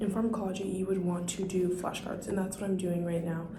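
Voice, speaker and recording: Whispering and soft-spoken, a woman talks at a fairly quick pace amid noticeable background noise and audible room echo. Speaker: nursing student vlogger. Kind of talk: casual vlog tutorial. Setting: library study room.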